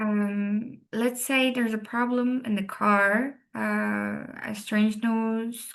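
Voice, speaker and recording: A woman with a fairly high pitch and a Turkish accent. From Turkey. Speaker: rally co-driver and engineer. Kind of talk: interview. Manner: halting, many fillers.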